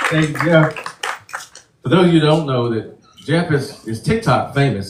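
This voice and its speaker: Against noticeable background noise, a man with an American accent talks fairly quickly in a fairly high pitch with ordinary pitch variation. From Virginia. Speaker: town hall moderator. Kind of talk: town hall moderating. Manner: casual, joking.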